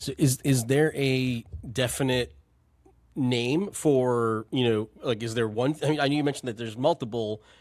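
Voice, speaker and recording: On a very clean recording with a silent background, a man has a plain, everyday voice at a medium pitch. He keeps a moderate pace with fairly even intonation. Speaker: podcast host, nonprofit co-founder and CEO. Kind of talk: podcast interview questions.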